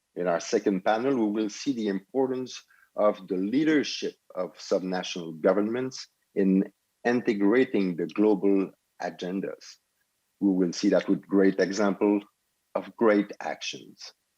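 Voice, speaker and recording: A man's fairly low, dark and mellow voice in a Quebec accent, moderate pace, ordinary pitch variation. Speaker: event moderator. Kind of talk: formal event hosting.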